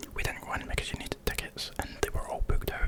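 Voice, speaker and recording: A man with a Scottish accent whispers at a fairly quick pace. Noticeable background noise is present. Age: 20s. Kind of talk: casual vlog narration.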